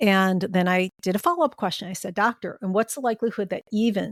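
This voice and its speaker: A woman with an ordinary speaking voice keeps a fairly even intonation. The sound is dry and close with no echo. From US Midwest, Chicago. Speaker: end of life doula. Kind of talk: interview conversation.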